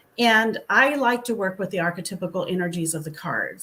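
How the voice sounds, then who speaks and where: Against a silent background in a very clean recording, a woman uses a plain, everyday voice with lively intonation at a moderate pace. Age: 60s. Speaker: author. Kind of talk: interview.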